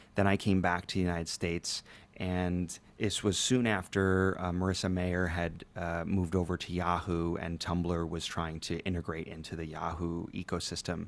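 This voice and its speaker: The voice has an American accent and monotone, flat intonation. The recording is very clean, with a silent background. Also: man, very deep, low pitch for a man, moderate pace. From US, Ecuadorian American family. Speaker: tech and retail business leader. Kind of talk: casual interview.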